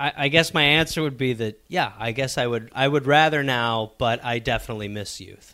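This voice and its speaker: In a normal speaking voice with an American accent, a man talks at a fairly quick pace with hardly any pauses, using a medium pitch and ordinary pitch variation. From Milwaukee, Wisconsin. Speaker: comedy writer. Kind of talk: casual chat.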